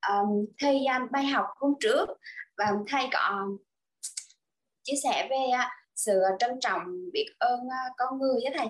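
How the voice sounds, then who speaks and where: At a fairly slow pace, a woman talks in a high voice with lively intonation and long, frequent pauses. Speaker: online class participant. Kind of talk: personal testimony. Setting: video call.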